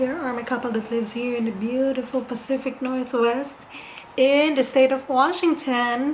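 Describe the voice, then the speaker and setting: A woman speaks in a high pitch. Audible room echo and noticeable background noise come through. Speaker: lifestyle vlogger. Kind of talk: casual DIY vlog.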